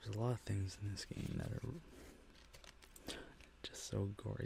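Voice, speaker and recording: A soft-spoken man whispering at a fairly quick pace. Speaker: ASMR content creator. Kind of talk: ASMR gaming haul video. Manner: soft-spoken, whispery.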